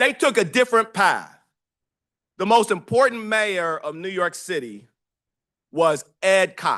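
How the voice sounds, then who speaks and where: A man with an American accent speaks loudly in a high, bright, sharp voice, his intonation lively and his tone animated. He talks at a fairly slow pace with long, frequent pauses against a quiet background. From Detroit area, Michigan. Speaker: professor. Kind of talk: lecture.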